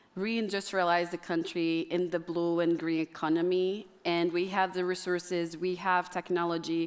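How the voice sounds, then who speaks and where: A woman's fairly low voice at a moderate pace, monotone and flat, with hardly any pauses, very even loudness, and a very clean recording against a silent background. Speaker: climate activist and state official. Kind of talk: panel discussion.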